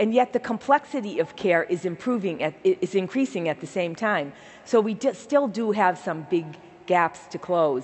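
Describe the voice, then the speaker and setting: A woman with a medium pitch speaks in a Boston accent. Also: lively intonation, moderate pace. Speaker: healthcare nonprofit CEO. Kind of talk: keynote speech. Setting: stage with audience. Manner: warm, enthusiastic. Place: stage. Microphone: headset.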